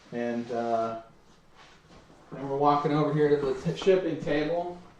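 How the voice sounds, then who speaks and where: Fairly slow and dark, mellow in tone, a man talks at a fairly high pitch for a man. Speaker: card-opening YouTuber and card store owner. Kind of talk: casual unboxing commentary. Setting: home store with shipping table. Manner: monotone.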